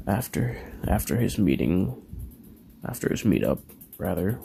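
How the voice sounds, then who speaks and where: Background music behind a man talking at a middling tempo. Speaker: YouTuber telling fan-fiction story. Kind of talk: casual storytelling narration. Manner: quiet, subdued; halting, with stutters.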